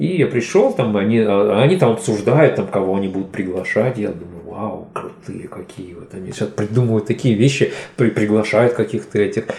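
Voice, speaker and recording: At a moderate pace, a man speaks with fairly low pitch and ordinary pitch variation. His loudness swings widely, and there is noticeable background noise. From Uzbekistan, Fergana. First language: Tajik, now native Russian (speaking Russian). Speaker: poet and DJ. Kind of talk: podcast interview. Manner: hesitant, filler-heavy.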